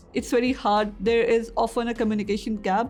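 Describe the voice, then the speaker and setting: A woman with a non-native accent talks at a moderate pace. Her pitch is fairly high and her intonation monotone and flat. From Pakistan. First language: not English. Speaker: PhD student. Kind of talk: interview testimony. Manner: halting, many fillers.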